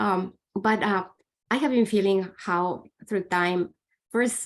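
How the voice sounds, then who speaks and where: A woman with a non-native accent, at a very slow pace, with fairly even intonation and very even loudness. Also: medium pitch for a woman. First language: not English. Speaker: meditation student. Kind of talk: group sharing. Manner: halting.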